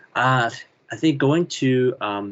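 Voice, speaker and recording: Ordinary pitch variation in a man's speech. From Canada. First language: Chinese. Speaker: children's author and illustrator. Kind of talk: interview.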